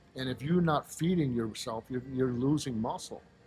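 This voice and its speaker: A man's somewhat breathy voice. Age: 50s. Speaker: powerlifter and aspiring bodybuilder. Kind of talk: casual interview chat.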